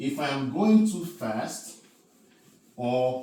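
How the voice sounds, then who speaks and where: With lively intonation, a man speaks at a very slow pace amid audible room echo and noticeable background noise. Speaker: math teacher. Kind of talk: lecture. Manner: filler-heavy, repetitive.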